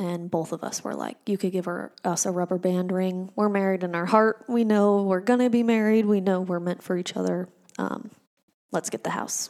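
A woman's medium-pitched voice with an American accent, fairly even intonation and a moderate pace. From Arizona, Phoenix area. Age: 20s. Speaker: grief podcast host. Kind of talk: personal monologue.

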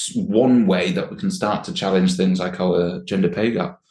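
In a Yorkshire accent, a man speaks at a fairly slow pace. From Yorkshire, northern England. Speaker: workplace well-being specialist. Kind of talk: casual chat.

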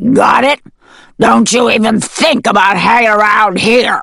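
Growling at a moderate pace, this put-on character voice sounds female and sits at a fairly high pitch for a woman. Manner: triumphant, growling, bullying.

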